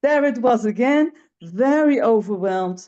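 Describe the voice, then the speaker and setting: With a Dutch accent, a woman speaks at a fairly slow pace in a dark, mellow tone with lively intonation. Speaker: webinar participant. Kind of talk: personal sharing in a webinar. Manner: halting, many fillers.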